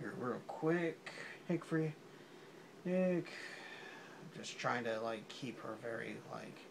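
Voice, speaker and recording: A soft-spoken man mumbles very slowly at a medium pitch with lively intonation. Audible room echo surrounds his voice. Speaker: drawing video creator. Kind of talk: casual drawing commentary. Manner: mumbling.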